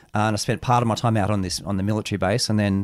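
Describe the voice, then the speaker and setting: The speaker talks in an Australian accent with monotone, flat intonation on a very clean recording with a silent background. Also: man. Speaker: author. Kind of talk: interview. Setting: studio.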